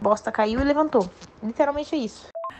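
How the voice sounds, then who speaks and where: A woman at a fairly quick pace with noticeable background noise. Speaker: dancer telling a story. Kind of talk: personal anecdote, recorded audio.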